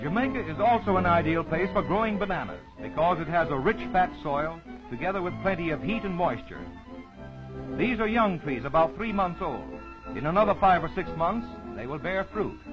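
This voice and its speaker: Music plays in the background as a man with a high voice speaks. His intonation is lively, and his pace is moderate. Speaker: travelogue reporter. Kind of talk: vintage travelogue narration.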